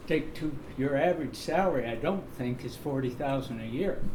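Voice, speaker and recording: At a moderate pace, a man with a fairly high pitch and ordinary pitch variation speaks amid audible room echo. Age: 80s+. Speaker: public commenter at county meeting. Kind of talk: public comment at meeting.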